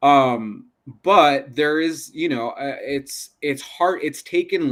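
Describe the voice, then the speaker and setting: A man's very slow delivery. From Southern California, Pico Rivera. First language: Spanish. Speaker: actor. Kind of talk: casual chat.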